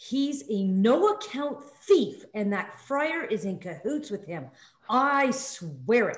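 Putting on a character voice, a woman sounds shrill and high-pitched, swinging very widely in pitch at a fairly slow pace. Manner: imperious, indignant, screeching.

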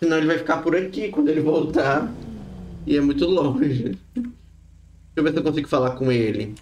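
Over light background noise, a man speaks at a fairly quick pace with lively intonation and long, frequent pauses. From Brazil. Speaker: gaming streamer. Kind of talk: live gaming stream. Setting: online stream with voice chat. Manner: animated. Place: home room. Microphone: studio mic.

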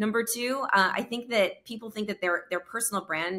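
Over a quiet background, a woman with an American accent talks at a fairly quick pace in a bright, sharp tone. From New York. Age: 30s. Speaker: entrepreneur and speaker; speaker. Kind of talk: interview. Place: home room. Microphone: studio mic.

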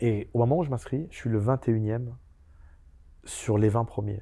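Over a quiet background, a man with a dark, mellow tone sounds somewhat breathy and shows ordinary pitch variation. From France, Seine-Saint-Denis (Paris suburbs); France. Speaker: convicted fraudster and author; interview guest. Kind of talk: interview. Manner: halting. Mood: calm storytelling. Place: studio. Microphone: lapel.

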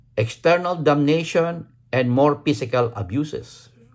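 The speaker uses lively intonation while talking at a very slow pace. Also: man. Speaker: vlogger. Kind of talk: angry rant. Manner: indignant, sarcastic, repeats words for emphasis; rhetorical questions with exclamatory 'Ha? Huh?'.

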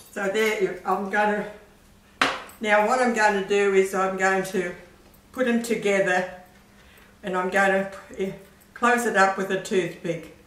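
A woman talks at a fairly slow pace, leaving long, frequent pauses and keeping a monotone, flat intonation. Audible room echo and light background noise fill the recording. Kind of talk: tutorial. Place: kitchen.

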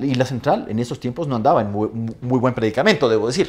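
The speaker is a man. He talks at a very fast pace. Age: 50s. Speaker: law professor. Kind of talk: casual interview. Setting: studio. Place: studio. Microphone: lapel.

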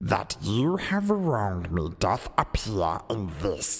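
A put-on character voice sits at a low pitch. It moves at a very slow pace. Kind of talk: competition audition performing a dramatic scene.

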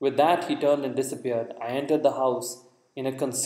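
An unforced reading voice reads with fairly even intonation.

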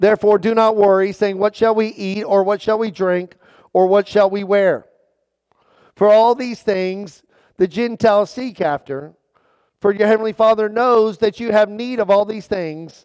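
The speech moves at a moderate pace with fairly even intonation against a quiet background. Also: man, high pitch for a man. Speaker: pastor. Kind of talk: sermon. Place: church.

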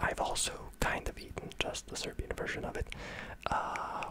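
Amid loud background noise, a soft-spoken man whispers at a moderate pace. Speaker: video creator. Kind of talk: casual commentary on national dishes. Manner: soft close-mic ASMR whisper. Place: home room. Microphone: studio mic.

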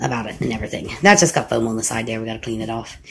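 A woman speaking at a very fast pace. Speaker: home vlogger. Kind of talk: casual vlog chat. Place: home room. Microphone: phone near.

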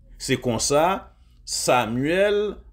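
Audible echo from the room is present. The speaker is a man. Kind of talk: sermon.

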